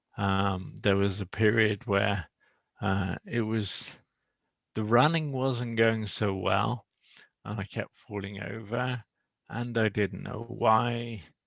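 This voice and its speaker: Very slowly and with fairly even intonation, a man speaks at a fairly low pitch. The sound is dry and close with no echo, and the background is quiet. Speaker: person living with motor neuron disease. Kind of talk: casual chat. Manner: slow, halting speech.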